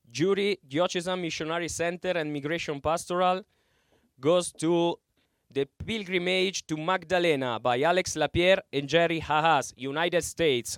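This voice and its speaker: Someone speaks with an Italian accent and fairly even intonation at a moderate pace, in a dry, close sound with no echo. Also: man, high pitch for a man. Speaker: festival director. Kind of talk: award ceremony announcing. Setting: stage with audience.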